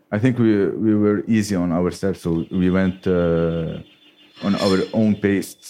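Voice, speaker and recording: A man with an Arabic accent talks at a fairly slow pace in a fairly low pitch, his intonation fairly even and his loudness very even. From Lebanon. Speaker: beekeeper and startup co-founder. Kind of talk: live podcast conversation. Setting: bookshop with live audience. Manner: halting.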